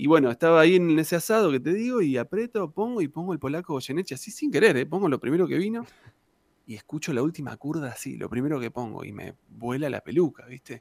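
Speaking at a very fast pace with lively intonation and big swings in loudness, a man with a fairly high pitch is heard in a very clean, dry, close recording with no echo and a silent background. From Argentina, Santa Cruz (Patagonia). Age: 40s. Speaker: tango singer and guitarist. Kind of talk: casual interview chat.

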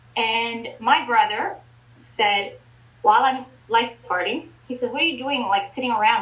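An ordinary speaking voice: a woman with a fairly high pitch talks at a fairly quick pace. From Ontario, Canada. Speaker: real estate broker and business owner. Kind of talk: interview.

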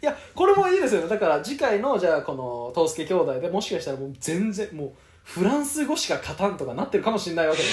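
A man speaks very fast in a high voice with very wide pitch swings, over noticeable background noise. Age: 20s. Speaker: podcast co-host. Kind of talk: casual chat.

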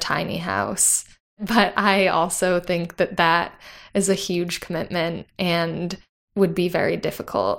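A woman with an American accent speaks fairly slowly at a fairly low pitch with vocal fry and fairly even intonation, in a very clean recording with a silent background. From US suburbs. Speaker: operations worker, environmental studies graduate. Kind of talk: casual interview.

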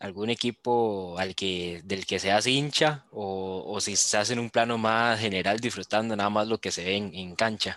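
Against a quiet background, a man with a fairly low pitch and a bright, sharp tone speaks at a fairly slow pace with fairly even intonation. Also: hardly any pauses. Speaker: sports podcast host. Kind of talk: casual sports chat.

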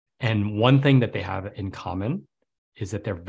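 Somewhat breathy and fairly low-pitched, a man with an American accent speaks at a moderate pace with ordinary pitch variation in a very clean recording with a silent background. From New York City. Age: 40s. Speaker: entrepreneur and writer, former Wall Street worker. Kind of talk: podcast interview.

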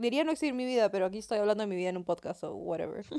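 The woman's voice sits at a fairly high pitch. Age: young. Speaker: podcast co-host, university student. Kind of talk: casual chat.

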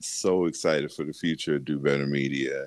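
Intonation here is fairly even. A man is the one talking. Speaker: podcast host. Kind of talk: casual interview chat.

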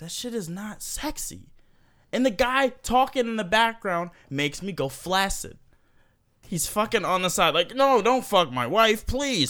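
Captured in a very clean recording with a silent background, a man with a high pitch speaks at a fairly slow pace in a raised, projected voice, his tone animated and his intonation lively. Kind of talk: casual comedic chat. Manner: joking, animated, laughs often.

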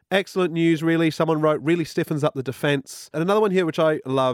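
This man has a British accent and a fairly high pitch, with lively intonation. The sound is dry and close, with no echo. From Britain. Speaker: podcast host. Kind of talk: casual chat.

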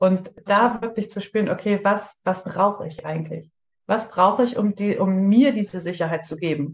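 A woman's somewhat breathy voice moves at a moderate pace with ordinary pitch variation. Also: medium pitch for a woman. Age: 30s. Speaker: breathwork practitioner, former police officer. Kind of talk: interview.

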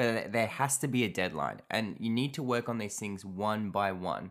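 A man with an unremarkable speaking voice talks at a fairly quick pace with lively intonation. The recording is very clean, with a silent background. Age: 20s. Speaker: self-improvement podcast host. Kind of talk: solo podcast monologue. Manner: casual.

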